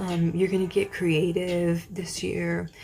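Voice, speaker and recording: A woman's voice over noticeable background noise. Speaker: tarot card reader. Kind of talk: pick-a-card tarot reading. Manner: casual, with many fillers.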